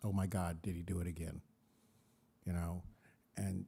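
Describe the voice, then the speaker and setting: His voice is somewhat breathy. The man speaks in an American accent. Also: very clean recording, silent background. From US Midwest, southern Illinois. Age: 60s. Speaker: panelist, suicide prevention trainer. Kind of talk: panel discussion.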